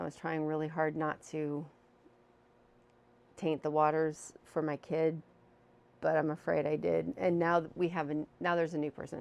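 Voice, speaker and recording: A soft-spoken woman talks in a very deep, low pitch. Her intonation stays fairly even. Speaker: video blogger. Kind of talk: casual chat. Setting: home living room. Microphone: new mic.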